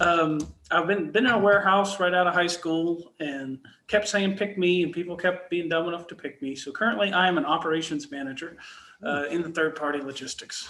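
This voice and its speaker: Over noticeable background noise, a man with a Texan accent speaks at a fairly quick pace in a high voice. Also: ordinary pitch variation. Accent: Texan, mild. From Texas, near Dallas. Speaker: warehouse operations manager. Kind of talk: casual interview chat.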